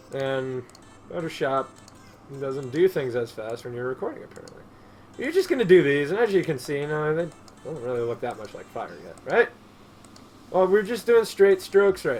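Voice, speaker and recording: A man speaks at a moderate pace in a fairly high pitch, with very wide pitch swings and long, frequent pauses. Noticeable background noise is present. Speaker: digital art tutorial creator. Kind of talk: tutorial. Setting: screen recording at computer. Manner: soft-spoken; trails off at ends of sentences.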